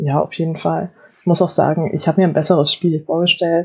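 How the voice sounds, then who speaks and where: Fairly low in pitch, a woman speaks in an unremarkable speaking voice with fairly even intonation. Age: 20s. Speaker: student and football player. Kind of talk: casual chat.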